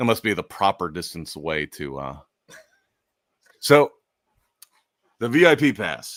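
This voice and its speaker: Over a silent background in a very clean recording, a man with vocal fry speaks fairly slowly and fairly low, his pitch swinging very widely between long, frequent pauses. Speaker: live stream podcast host. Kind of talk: casual chat. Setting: live stream.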